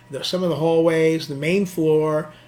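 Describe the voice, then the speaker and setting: Against noticeable background noise, a man with a New York accent talks at a fairly high pitch. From New York City, Queens. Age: 60s. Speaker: nightlife designer and club operator. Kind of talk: casual interview chat. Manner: halting, repetitive.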